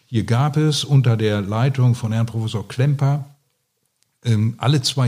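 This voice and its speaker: Here a man speaks in a dark, mellow tone that is somewhat breathy. His pitch shows ordinary variation. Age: 60s. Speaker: retired surgeon. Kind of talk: interview. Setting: at his home.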